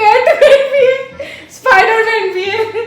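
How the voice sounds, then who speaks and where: A woman speaks at an extremely high pitch. Music plays in the background. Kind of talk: casual talk to camera.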